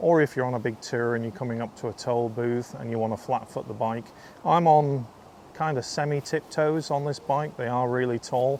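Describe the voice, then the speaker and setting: A man with a Lancashire accent speaks in a medium pitch at a moderate pace with fairly even intonation. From northern England (North Lancashire). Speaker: motorcycle vlogger. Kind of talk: casual vlog review. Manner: casual, many fillers.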